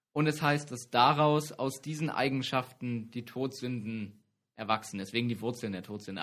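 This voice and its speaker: At a moderate pace, a man talks in a normal speaking voice, medium in pitch, with fairly even intonation. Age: 20s. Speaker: campus radio co-host. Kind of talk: casual trivia chat show.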